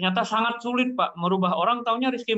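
In a quiet background, a man speaks at a high pitch and very fast pace, with ordinary pitch variation. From Indonesia, Javanese family. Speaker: participant; lecture participant asking a question. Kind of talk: Q&A discussion. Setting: video call. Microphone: video call.

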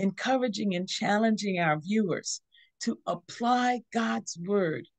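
A woman speaks at a fairly slow pace in a somewhat breathy voice with very wide pitch swings, the sound dry with no echo against a quiet background. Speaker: teaching host. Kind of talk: devotional teaching. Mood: warm, smiling. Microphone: video call.

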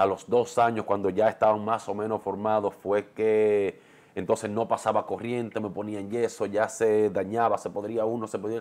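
Monotone, flat speech from a man at a moderate pace, his pitch fairly low. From Dominican Republic, Santiago; Dominican Republic. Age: 40s. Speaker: TV and radio presenter; radio presenter. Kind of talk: interview. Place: home room.

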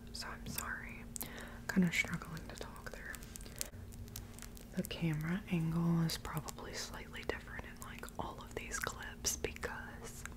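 A whispering woman at a fairly slow pace, with long, frequent pauses and big swings in loudness. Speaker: vlogger. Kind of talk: casual vlog chat. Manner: soft-spoken, slightly dry-throated murmur. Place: home room. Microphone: earbuds.

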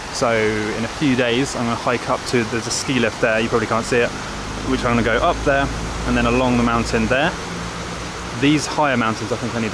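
Loud background noise fills the clip. A man talks at a fairly quick pace. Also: dry sound with no echo. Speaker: travel vlogger. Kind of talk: casual vlog chat. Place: street. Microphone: phone near.

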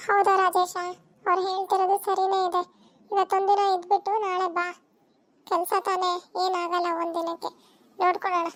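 In a cartoonish character voice, a woman talks at a fairly slow pace with extremely high pitch and a monotone, flat intonation. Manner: brisk, plain-spoken.

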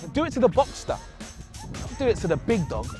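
Clear music plays in the background while a man talks at a fairly quick pace, with a dry sound and no echo. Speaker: TV presenter. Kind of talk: TV car presenter showreel. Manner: cheeky, punchy, irreverent. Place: open country.

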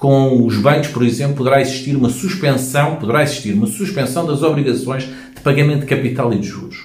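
Speaking fairly quickly with hardly any pauses, a man of medium pitch talks in a European Portuguese accent amid audible room echo. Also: ordinary pitch variation. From Portugal. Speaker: hypnotherapist and self-help youtuber; self-help youtuber. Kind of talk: informational video monologue. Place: home room. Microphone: phone near.

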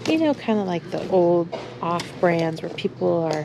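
A woman talks at a moderate pace while noticeable background noise is heard. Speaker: thrift shopper vlogger. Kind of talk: casual vlog chat. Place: shop. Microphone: phone near.

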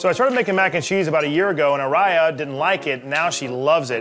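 Someone speaks at a very fast pace while music plays clearly in the background. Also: man. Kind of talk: casual cooking tutorial chat. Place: kitchen.

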